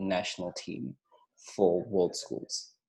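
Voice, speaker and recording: A dark, mellow tone marks this man's voice. He talks fairly slowly. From Zimbabwe, largely raised in South Africa. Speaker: teacher and debate coach. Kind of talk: podcast interview. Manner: hesitant, many fillers.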